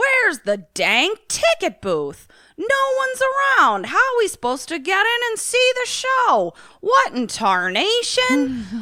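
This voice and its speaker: A put-on character voice pitched extremely high is projected loudly and moves at a fairly slow pace. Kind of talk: folksy colloquial. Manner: puzzled, impatient.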